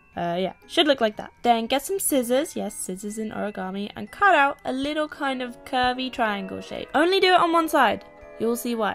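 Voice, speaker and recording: A woman with a southern English accent speaks in an upbeat tone at a high pitch and moderate pace, with hardly any pauses. Her pitch swings are very wide, and music plays in the background. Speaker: YouTuber, singer-songwriter. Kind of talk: DIY tutorial talk to camera. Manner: upbeat, casual.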